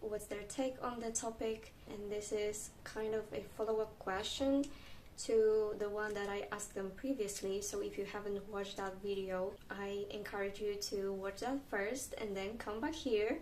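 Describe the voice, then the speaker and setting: A woman's fairly high voice in a Polish accent, with ordinary pitch variation, a moderate pace and audible room echo. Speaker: video creator. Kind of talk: reading aloud; vlog monologue.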